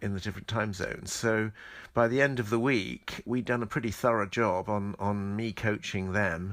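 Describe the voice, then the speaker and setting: With a southern English accent, a man talks at a moderate pace in a fairly low pitch with ordinary pitch variation, on a very clean recording with a silent background. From southern England, Medway towns in Kent. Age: 60s. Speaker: choreographer. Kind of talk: interview.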